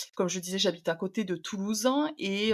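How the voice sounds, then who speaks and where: A woman at medium pitch speaks in a plain, everyday voice. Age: 20s. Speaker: podcast guest. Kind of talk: personal testimony interview. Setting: at home, remote interview.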